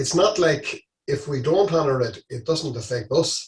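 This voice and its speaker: A somewhat breathy man with an Irish accent and lively intonation. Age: 60s. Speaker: charity walker. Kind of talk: interview. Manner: halting.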